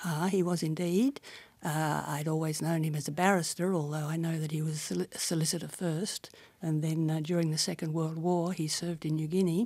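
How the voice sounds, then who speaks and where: In an Australian accent, a woman talks at a fairly quick pace with a very deep, low pitch, a dark, mellow tone and fairly even intonation, on a very clean recording with a silent background. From Australia, Sydney. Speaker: barrister. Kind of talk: oral history interview.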